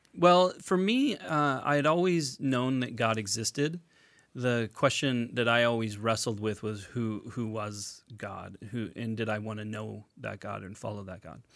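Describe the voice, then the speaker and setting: On a very clean recording, silent background, an American man with an unremarkable speaking voice talks at a fairly slow pace and medium pitch, with lively intonation and big swings in loudness. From United States. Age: 40s. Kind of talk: casual chat. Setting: studio.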